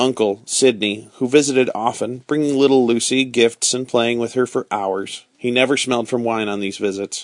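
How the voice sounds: A natural reading voice is used here, showing ordinary pitch variation.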